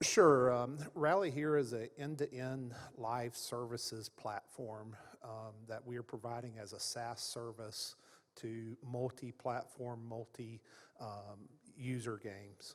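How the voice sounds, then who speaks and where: Speaking very slowly with a Southern US accent, a man at medium pitch keeps fairly even intonation while his loudness swings widely. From Florida, US South. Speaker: games industry executive, panelist. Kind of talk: conference panel discussion. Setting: stage with audience at conference.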